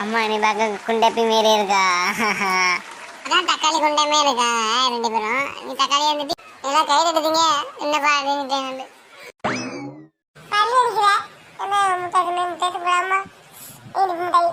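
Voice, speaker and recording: In a cartoonish character voice pitched high, the speaker talks at a fairly slow pace while sound effects play in the background. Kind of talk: comic cartoon dialogue. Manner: fast, argumentative.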